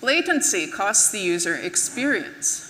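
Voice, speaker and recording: A woman with an American accent talks at a fairly slow pace. Noticeable background noise and audible room echo are present. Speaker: conference speaker, web engineer. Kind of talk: conference talk. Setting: stage with audience.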